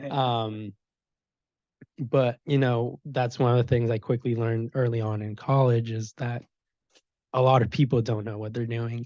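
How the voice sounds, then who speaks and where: Moderate pace with long, frequent pauses, a dark, mellow tone, flat monotone intonation and a Spanish accent, against a quiet background. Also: man, medium pitch for a man. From Mexico, Puebla area. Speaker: software security engineer. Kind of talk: panel talk. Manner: hesitant, many fillers.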